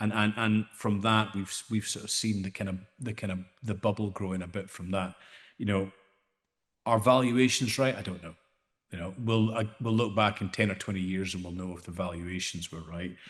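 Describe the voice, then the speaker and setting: Speaking with fairly even intonation, a man has a fairly low pitch. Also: moderate pace, quiet background. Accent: Scottish. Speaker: AI startup founder. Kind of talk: panel discussion. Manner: hesitant, many repeated words.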